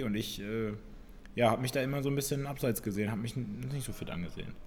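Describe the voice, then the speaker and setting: Talking very fast with lively intonation, a man has a dark, mellow tone, and room echo can be heard. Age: 20s. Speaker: fitness podcast co-host, CrossFit coach. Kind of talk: casual chat.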